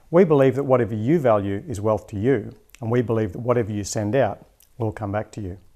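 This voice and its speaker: A man talks very fast with an Australian accent, his pitch medium with ordinary variation. The recording is very clean, with a silent background. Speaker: show host, wealth coach. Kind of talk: podcast host intro.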